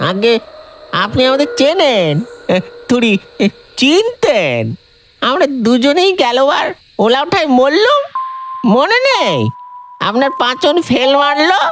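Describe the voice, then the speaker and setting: The speaker uses a put-on character voice at a high pitch. The pace is fairly slow. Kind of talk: rustic colloquial Bengali. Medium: read story. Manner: hesitant, stammering, deferential.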